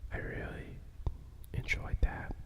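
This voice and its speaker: Noticeable background noise sits behind a voice whispering at a very slow pace. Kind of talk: ASMR storytime, casual talk to camera. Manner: soft-spoken, relaxing.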